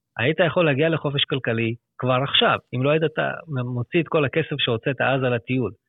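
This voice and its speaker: Fairly quick delivery in a man's voice of medium pitch. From Israel, Lod. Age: 30s. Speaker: financial planner. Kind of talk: interview.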